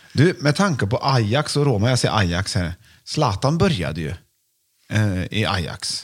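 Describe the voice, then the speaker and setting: A man speaks at a moderate pace with a fairly low, somewhat breathy voice. His pitch swings very widely. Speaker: podcast host. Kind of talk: casual chat.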